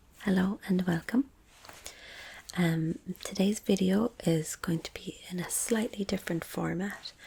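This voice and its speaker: Soft-spoken and at a fairly slow pace, the voice comes with an Irish accent. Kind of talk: ASMR educational talk to camera.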